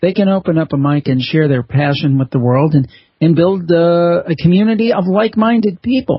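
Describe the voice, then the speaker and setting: Lively intonation marks this man's fairly high pitch, and he has an unremarkable speaking voice. His pace is moderate. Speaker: podcaster and author. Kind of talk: interview answer.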